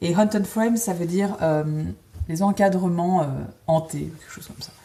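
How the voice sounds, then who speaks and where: Through noticeable background noise, a woman speaks fairly low in pitch, with fairly even intonation at a fairly slow pace. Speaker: cross-stitch video host. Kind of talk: casual chat. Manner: hesitant, many fillers.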